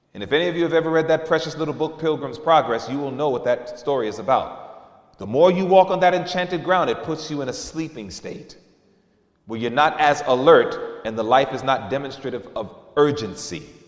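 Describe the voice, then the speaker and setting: With an animated, playful tone and lively intonation, the speaker moves at a fairly quick pace, and room echo is audible. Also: man, fairly high pitch for a man. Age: 40s. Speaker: preacher. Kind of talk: sermon, candid personal confession woven into a church message. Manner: conversational and earnest, with repeated fillers like you know; animated, with emphatic repetition and playful mimicry of lax voices.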